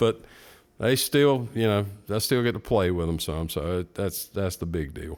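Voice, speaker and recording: Here a man with an American accent uses a plain, everyday voice at a fairly low pitch, moderate pace and lively intonation. The recording is very clean, with a silent background. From North Carolina (Morganton). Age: 60s. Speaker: guitar shop owner and guitarist. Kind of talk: casual chat.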